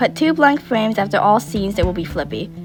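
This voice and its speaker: A woman's medium-pitched voice at a moderate pace, with lively intonation and music playing in the background. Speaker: digital art tutorial maker. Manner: some stuttering.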